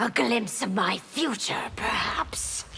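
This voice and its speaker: A woman uses a put-on character voice, raspy and at a fairly slow pace, with clear background noise behind her. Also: fairly high pitch for a woman. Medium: short film.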